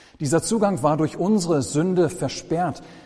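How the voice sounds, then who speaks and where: Here a man talks with a fairly high pitch. His delivery is fairly slow, with lively intonation. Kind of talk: sermon.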